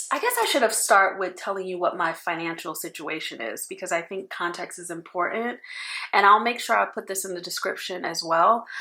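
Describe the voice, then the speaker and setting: Bright and sharp in tone, this voice carries an American accent. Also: woman. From New York. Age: 40s. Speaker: personal finance vlogger. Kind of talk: casual talk to camera.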